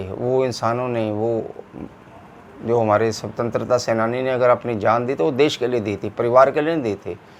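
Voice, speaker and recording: A man's medium-pitched voice at a moderate pace over noticeable background noise. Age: 60s. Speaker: political commentator. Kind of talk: opinion monologue.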